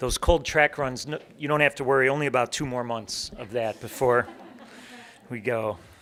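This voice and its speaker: A man with a Chicago accent, medium pitch, ordinary pitch variation and a moderate pace. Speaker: ceremony emcee. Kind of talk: emceeing a ceremony.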